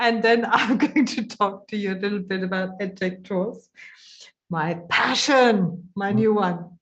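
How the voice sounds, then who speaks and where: A woman speaks at a fairly slow pace in a somewhat breathy voice, her pitch medium with ordinary variation. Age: 60s. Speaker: webinar organizer and edtech presenter. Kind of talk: casual chat in an online conference.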